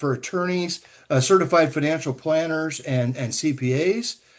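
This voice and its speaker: A man speaks with a Midwestern US accent. His pitch is fairly high, and the background is quiet. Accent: US Midwest. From Nebraska. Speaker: agricultural economist and tax educator. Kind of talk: lecture. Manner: fast; halting, many fillers.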